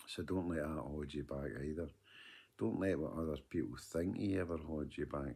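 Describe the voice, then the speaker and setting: In a west of Scotland accent, a man speaks with a very deep, low pitch, a dark, mellow tone and vocal fry. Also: ordinary pitch variation, moderate pace. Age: 50s. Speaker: vlogger. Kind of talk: video diary monologue. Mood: earnest, advising. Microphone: phone near.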